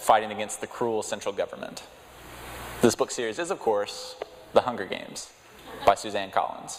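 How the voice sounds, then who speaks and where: Medium pitch for a man with an American accent, plus ordinary pitch variation. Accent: Texas twang, thicker when speaking publicly. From West Texas. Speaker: lay preacher. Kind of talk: sermon. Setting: church.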